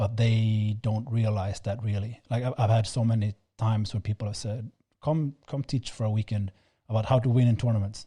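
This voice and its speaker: Somewhat breathy, dark, mellow voice with a non-native accent, fairly quick and fairly even in intonation, dry and close with no echo, on a very clean recording with a silent background. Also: man, medium pitch for a man. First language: not English. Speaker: fencing instructor, podcast co-host. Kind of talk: casual chat. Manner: halting, many repeated words.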